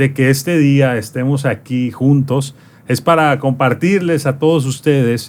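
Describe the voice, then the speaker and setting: A man's normal speaking voice at a fairly high pitch, fairly slow in pace, with ordinary pitch variation. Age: 30s. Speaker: podcast host. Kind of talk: interview.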